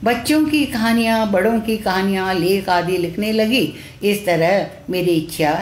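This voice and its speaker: Medium-pitched female speech in audible room echo. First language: Tamil (speaking Hindi). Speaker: retired teacher and children's author, translator. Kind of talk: live-streamed talk. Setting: Facebook live stream. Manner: halting, with many fillers.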